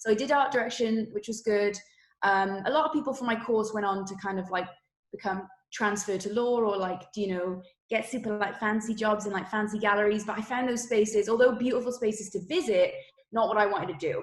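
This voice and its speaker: A woman's fairly high-pitched voice in a Welsh accent at a fairly quick pace. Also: ordinary pitch variation. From Wales. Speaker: creative director. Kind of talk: interview. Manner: many fillers and restarts.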